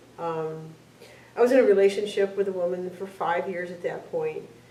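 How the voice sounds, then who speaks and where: A woman's fairly low voice with fairly even intonation at a moderate pace, with audible room echo. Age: 60s. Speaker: LGBT senior sharing personal story. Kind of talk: testimony. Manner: halting.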